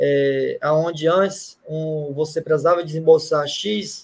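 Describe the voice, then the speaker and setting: A man's unremarkable speaking voice with ordinary pitch variation. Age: 30s. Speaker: wholesale distribution executive. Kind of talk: interview. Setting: live stream.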